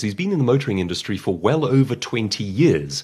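Man's voice with vocal fry and very wide pitch swings. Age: 30s. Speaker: professional speaker and author. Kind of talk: interview conversation. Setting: at his home.

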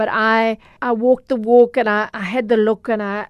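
In a Durban accent, a woman talks at a fairly high pitch with a monotone, flat delivery. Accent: South African, Durban. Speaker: consumer journalist. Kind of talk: casual interview.

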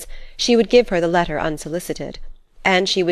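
What you hear is someone reading aloud plainly.

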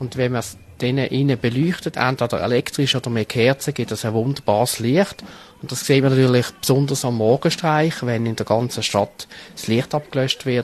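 A man of medium pitch at a moderate pace. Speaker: carnival society member. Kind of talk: interview. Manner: halting.

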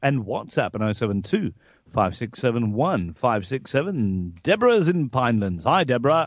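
A man speaks at a moderate pace in a medium pitch, his voice swinging very widely up and down against a quiet background. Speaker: radio host. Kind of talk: radio talk show.

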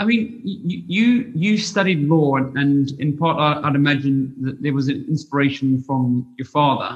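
Somewhat breathy, a man speaks at a fairly high pitch with lively intonation and a fairly slow pace. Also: hardly any pauses. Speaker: podcast host. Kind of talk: interview.

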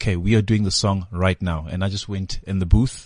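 Over a quiet background, a man with a South African accent speaks at a moderate pace in a fairly low pitch. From South Africa, Durban (KwaMashu). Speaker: musician. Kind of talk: casual interview chat. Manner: repeats words often.

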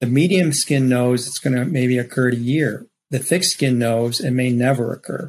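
This is a normal speaking voice from a man, medium in pitch. He speaks at a moderate pace with fairly even intonation. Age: 60s. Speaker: rhinoplasty surgeon. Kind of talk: expert interview with slide presentation.

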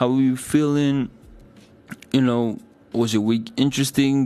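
A man's medium-pitched, dark, mellow voice at a fairly slow pace with fairly even intonation. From Africa. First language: not English. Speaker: radio DJ and host. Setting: radio studio show. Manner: rambling, fillers like 'basically' and 'um'.

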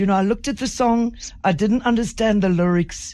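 This woman has a fairly high pitch and lively intonation. She talks at a moderate pace in a South African accent. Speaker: radio host. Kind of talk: radio interview. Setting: radio studio.

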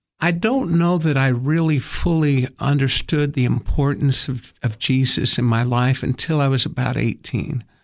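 A man with an American accent at a medium pitch, moderate pace and very even loudness, with ordinary pitch variation and hardly any pauses. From East Tennessee, US South. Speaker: attorney and church leader. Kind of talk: radio interview. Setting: studio.

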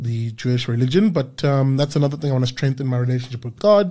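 With a dark, mellow tone and a somewhat breathy quality, a man speaks at a medium pitch with ordinary pitch variation. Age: 30s. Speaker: podcast host. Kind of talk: casual chat; rant. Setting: studio.

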